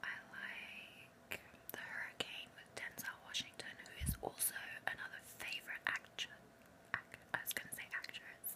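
A woman whispers. Her pace is moderate. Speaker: ASMR creator. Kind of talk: ASMR whisper talk about films. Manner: whispered. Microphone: phone near.

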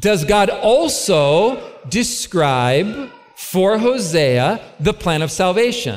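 Very slow speech with very wide pitch swings, plus noticeable background noise and audible room echo. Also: man, high pitch for a man. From California, US. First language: English (speaking Polish). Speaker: preacher. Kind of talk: sermon. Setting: stage with audience. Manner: slow, short phrases for interpreter.

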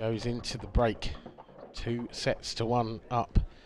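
A man's medium-pitched voice comes through clear background noise. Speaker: live match commentator. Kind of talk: live sports commentary. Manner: fluent, steady, polished commentary pace.

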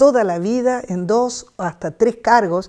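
A woman speaks at a very slow pace in a dark, mellow tone with ordinary pitch variation. The background is quiet. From Argentina, rural Buenos Aires province. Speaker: retired teacher. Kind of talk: life story interview. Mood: warm, nostalgic, smiling.

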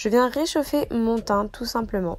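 Moderately paced and fairly high in pitch, the woman's voice is an unremarkable speaking voice. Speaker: beauty youtuber. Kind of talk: makeup tutorial. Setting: voice-over.

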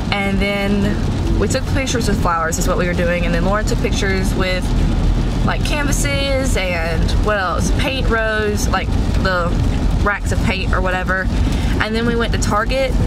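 The speech moves at a moderate pace, with music in the background. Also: woman. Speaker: vlogger. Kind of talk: casual vlog chat. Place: car.

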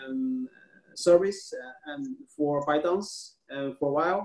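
Speaking at a fairly slow pace with ordinary pitch variation, a man with a Chinese accent is heard amid audible room echo. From China. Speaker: tech media founder; interviewee. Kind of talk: interview. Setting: video call. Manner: halting. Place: home room. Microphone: video call.

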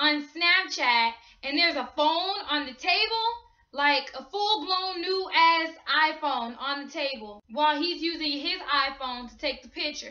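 A woman talks in a raised, projected voice at a fairly slow pace. Her intonation is lively, and the background is quiet. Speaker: gossip vlogger. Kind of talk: casual vlog chat. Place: home room. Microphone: webcam.

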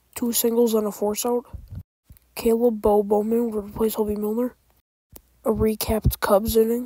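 Her intonation monotone and flat, a woman with a fairly high pitch speaks at a moderate pace, leaving long, frequent pauses. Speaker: baseball fan commentator. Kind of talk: game recap narration.

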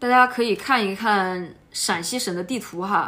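A woman with a southern Shaanxi accent, fairly slow pace and lively intonation. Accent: Sichuan-like southern Shaanxi dialect. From Shaanxi, Ankang (southern Shaanxi). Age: 20s. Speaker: motorcycle traveller vlogger. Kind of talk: casual travel vlog talk. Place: home room. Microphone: phone near.

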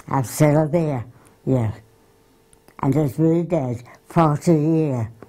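Very slowly, a woman with a Yorkshire accent speaks in a very deep, low pitch with ordinary pitch variation. Her loudness is very even, and the background is quiet. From Wakefield area, Yorkshire, England. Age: 80s+. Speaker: grandmother recalling her life. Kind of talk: interview answer. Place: home room. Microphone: lapel.

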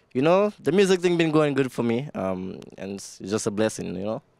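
A man with a Saint Lucian accent at a moderate pace, his pitch swinging very widely. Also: dry sound with no echo. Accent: St. Lucian English. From St. Lucia. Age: 20s. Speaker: soca singer and producer. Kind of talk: casual interview. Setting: radio studio. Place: studio. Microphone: handheld.

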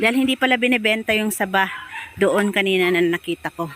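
Noticeable background noise behind a woman talking with ordinary pitch variation. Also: dry, close sound with no echo. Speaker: vlogger, overseas domestic worker. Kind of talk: casual vlog narration. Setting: outdoors.

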